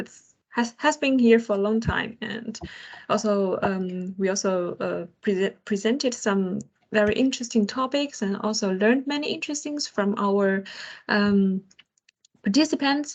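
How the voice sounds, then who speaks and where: The speaker has a Chinese accent, a somewhat breathy voice and ordinary pitch variation. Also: woman, fairly high pitch for a woman, moderate pace. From China. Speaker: project engineer and co-host. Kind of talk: online roundtable talk. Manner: halting, many fillers.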